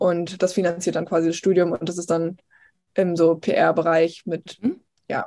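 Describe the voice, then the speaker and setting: Long, frequent pauses break up a woman's fairly slow, monotone delivery with flat intonation. Her voice is fairly low in pitch, with a dark, mellow tone. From eastern Germany, Potsdam. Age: 20s. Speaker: TV news reporter. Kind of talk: casual interview.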